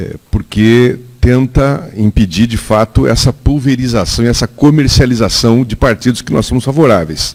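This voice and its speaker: A man talks at a moderate pace and medium pitch, with ordinary pitch variation and hardly any pauses. It is a plain, everyday voice. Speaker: political staffer at an audience debate. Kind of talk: public debate comment.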